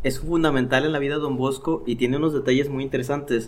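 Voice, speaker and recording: There is noticeable background noise as a man talks in a medium pitch. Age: 30s. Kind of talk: casual chat. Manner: animated.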